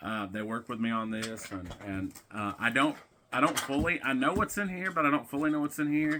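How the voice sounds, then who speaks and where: A man with a Tennessee accent and a bright, sharp tone at a moderate pace, in a very clean recording with a silent background. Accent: Southern US (Tennessee). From US South, Tennessee. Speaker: wrestling vlogger. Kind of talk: casual unboxing vlog.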